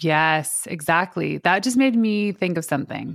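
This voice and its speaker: A woman with an unremarkable speaking voice talks at a moderate pace, her pitch fairly low. The recording is very clean, with a silent background. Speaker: podcast host and PR expert. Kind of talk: casual interview chat.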